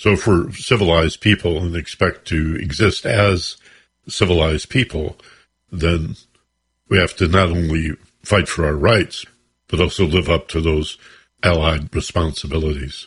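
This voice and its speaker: Over a quiet background, a man with a very deep, low pitch and a somewhat breathy voice speaks at a moderate pace with ordinary pitch variation and long, frequent pauses. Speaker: radio host. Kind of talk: radio interview. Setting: radio studio.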